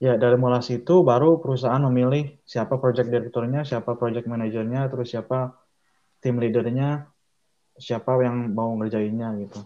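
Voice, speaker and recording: Fairly even in intonation, a man's medium-pitched voice moves at a moderate pace. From Indonesia, Bandung (West Java). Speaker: structural designer. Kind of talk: casual interview. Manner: halting, many fillers.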